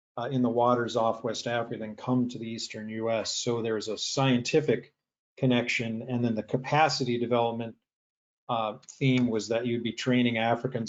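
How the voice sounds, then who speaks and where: A man at a medium pitch, fairly quick in pace, with monotone, flat intonation. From US Upper Midwest, Michigan (Sault Ste. Marie). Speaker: oceanography professor. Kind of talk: webinar talk. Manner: fast.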